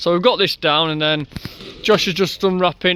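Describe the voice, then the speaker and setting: A man with a Yorkshire accent, high-pitched, at a moderate pace, with music in the background. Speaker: builder. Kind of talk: tutorial. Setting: outdoors. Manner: casual.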